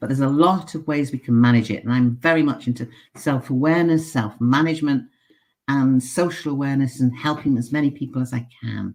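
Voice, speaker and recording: A British accent at a fairly quick pace, with ordinary pitch variation. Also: woman. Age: 70s. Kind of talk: casual chat.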